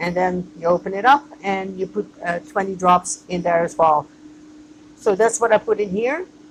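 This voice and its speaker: Using lively intonation, a woman talks with a non-native accent. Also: medium pitch for a woman, moderate pace. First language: not English. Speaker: microgreens grower and business owner. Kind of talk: tutorial. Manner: hesitant, with fillers.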